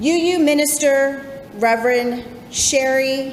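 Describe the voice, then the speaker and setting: Against noticeable background noise, a woman speaks in a high voice with ordinary pitch variation. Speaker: congregational life coordinator and ministerial intern. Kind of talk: church sermon.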